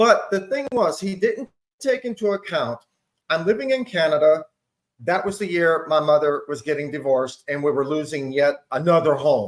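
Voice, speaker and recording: A man with a plain, everyday voice and a fairly high pitch talks at a moderate pace. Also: lively intonation. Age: 60s. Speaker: panel guest. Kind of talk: casual chat.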